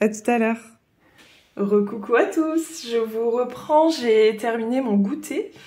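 A woman's very slow, lively-intoned voice with a dark, mellow tone. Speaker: coloring hobby vlogger. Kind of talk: casual talk to camera. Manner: hesitant, chatty. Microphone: phone near.

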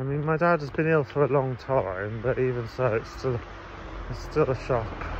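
This voice moves at a moderate pace with ordinary pitch variation, and noticeable background noise is present. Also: man, medium pitch for a man. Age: 40s. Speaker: vlogger. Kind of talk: casual vlog monologue. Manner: halting.

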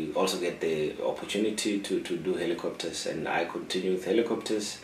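Light background noise and audible room echo around a man speaking. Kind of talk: interview answer. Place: office.

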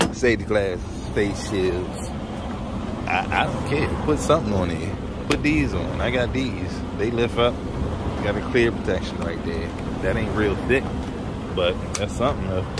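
A man's speech full of long, frequent pauses, dry with no echo, over loud background noise. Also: moderate pace. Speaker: truck mechanic vlogger. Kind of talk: casual vlog chat. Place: street. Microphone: phone near.

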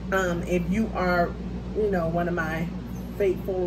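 A woman speaks at a very slow pace. Loud background noise runs throughout. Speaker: mukbang creator. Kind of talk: casual vlog chat. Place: home room. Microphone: phone near.

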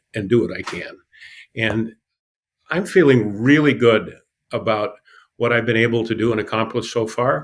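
Speaking at a moderate pace, a man has a plain, everyday voice with a medium pitch and ordinary pitch variation. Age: 60s. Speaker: pastor and city council candidate. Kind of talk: interview.

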